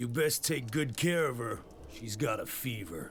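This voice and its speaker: A raspy, put-on character voice speaks at a moderate pace with lively intonation. Clear background noise sits behind it. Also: man, medium pitch for a man. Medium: video game. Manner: blunt, dry.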